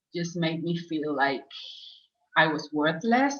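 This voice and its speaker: In a Spanish accent, a woman speaks with a fairly low pitch. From Spain. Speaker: former client, program graduate. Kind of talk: interview testimony. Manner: slow, searching for words; hesitant, many fillers.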